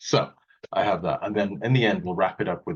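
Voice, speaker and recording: This man has a British accent. His pitch sits fairly low. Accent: non-Australian, British accent noted. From Wales, UK. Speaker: calligrapher and technology auditor. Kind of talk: online presentation talk. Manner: casual, light humour, some fillers.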